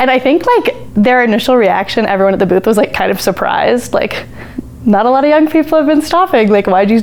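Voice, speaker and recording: With an American accent, a woman talks at a very fast pace and with lively intonation over noticeable background noise. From Colorado (Parker). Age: under 20 (19). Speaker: college student, campaign volunteer. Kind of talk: interview. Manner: casual, frequent fillers.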